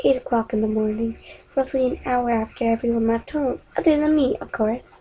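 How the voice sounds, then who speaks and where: An unremarkable speaking voice, a woman talks at a fairly high pitch and fairly quick pace with lively intonation. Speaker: amateur story narrator. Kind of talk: horror story reading.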